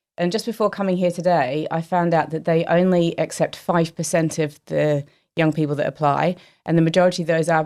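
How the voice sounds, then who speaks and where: In a slight Australian accent, the speaker talks at a fairly quick pace with fairly even intonation on a very clean recording with a silent background. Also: woman. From Australia, Melbourne. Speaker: company chief executive. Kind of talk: casual interview chat.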